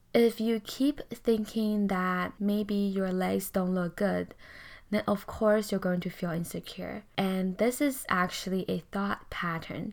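A woman's calm, medium-pitched voice at a very slow pace. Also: fairly even intonation, very clean recording, silent background. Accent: non-native. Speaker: podcast host and life coach. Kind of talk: solo self-help podcast talk.

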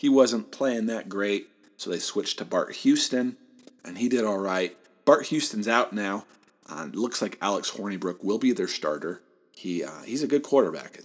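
A man in a Midwestern American accent speaks at medium pitch and a moderate pace, with lively intonation and big swings in loudness. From Southeast Michigan. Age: 20s. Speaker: sports podcast host. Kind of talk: solo sports commentary podcast.

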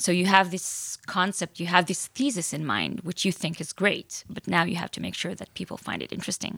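Talking at a fairly quick pace with hardly any pauses, a woman with a fairly low pitch and ordinary pitch variation has a bright, sharp tone, vocal fry and big swings in loudness. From Israel. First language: Hebrew. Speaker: author and entrepreneur. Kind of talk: interview.

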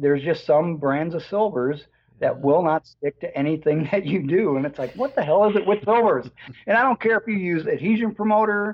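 A high-pitched man with an American accent, lively intonation, and a moderate pace. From US Midwest, Chicago area. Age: 60s. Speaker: hot rod builder and painter. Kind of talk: casual chat.

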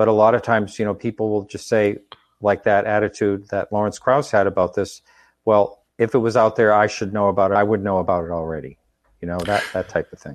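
Speaking at a fairly quick pace, a man with an American accent has a fairly low pitch, fairly even intonation and an unremarkable speaking voice. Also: quiet background. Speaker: talk show host. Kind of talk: interview. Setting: live stream.

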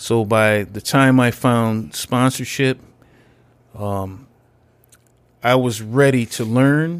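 A man's medium-pitched voice at a very slow pace, with ordinary pitch variation and long, frequent pauses. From Connecticut. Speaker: army veteran and peer specialist in addiction recovery. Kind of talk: personal recovery testimony. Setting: recovery center recording room.

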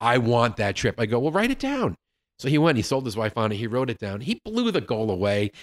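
A man with an unremarkable speaking voice talks fairly quickly at a medium pitch, with ordinary pitch variation. The sound is dry and close with no echo, on a very clean recording with a silent background. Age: 50s. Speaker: sales consultant and author. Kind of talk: casual interview. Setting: studio, in person.

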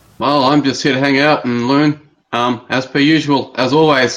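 A man speaks with an Australian accent. He keeps a fairly slow pace. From Australia, Brisbane area. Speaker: caller. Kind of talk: call-in discussion.

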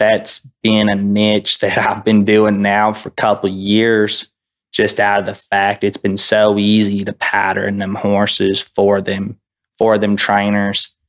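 A man with fairly low pitch talks at a very slow pace in a monotone, flat intonation. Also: very clean recording, silent background. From Canada, Alberta. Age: 20s. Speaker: horse trainer. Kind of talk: interview.

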